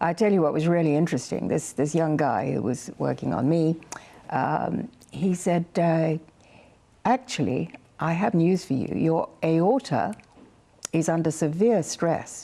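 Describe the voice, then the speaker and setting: A woman speaks at a fairly slow pace and fairly low pitch, with vocal fry and lively intonation. Her loudness stays very even. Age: 70s. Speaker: health show presenter, former nurse. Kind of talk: casual chat. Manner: animated.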